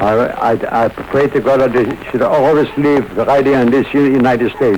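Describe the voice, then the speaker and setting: Noticeable background noise sits under a man's medium-pitched voice. He keeps a moderate pace, fairly even intonation and very even loudness. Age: 80s+. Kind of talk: interview answer. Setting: radio broadcast recording.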